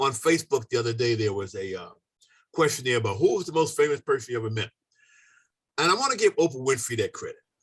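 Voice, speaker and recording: Somewhat breathy and with an American accent, a man speaks at a very fast pace with lively intonation and long, frequent pauses. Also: medium pitch for a man. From US, Maryland. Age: 70s. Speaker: landscaper and life coach. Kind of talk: casual interview.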